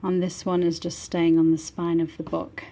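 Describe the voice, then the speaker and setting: Noticeable background noise runs under speech that keeps a moderate pace. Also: woman. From northern England, Manchester. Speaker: book artist. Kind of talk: product showcase. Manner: animated.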